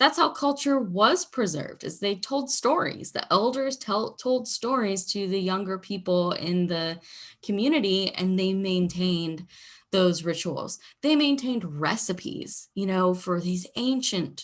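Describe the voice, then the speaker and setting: A normal speaking voice from a woman at medium pitch, fairly slow pace and lively intonation, against a quiet background. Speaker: university lecturer. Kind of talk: recorded lecture.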